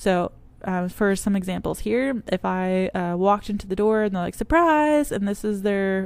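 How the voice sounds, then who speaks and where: A woman of medium pitch with an unremarkable speaking voice, ordinary pitch variation and a moderate pace, in a very clean recording with a silent background. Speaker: teacher. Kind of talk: recorded lecture presentation.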